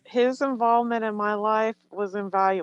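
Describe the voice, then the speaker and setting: A woman speaks at a fairly high pitch with fairly even intonation. The sound is dry and close, with no echo. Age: 60s. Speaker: webinar attendee, home visiting staff. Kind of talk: webinar discussion.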